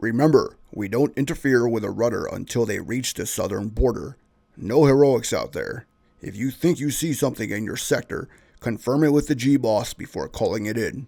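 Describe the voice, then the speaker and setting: A man puts on a raspy character voice at a medium pitch, speaking at a moderate pace with ordinary pitch variation. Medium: read story. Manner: authoritative, businesslike.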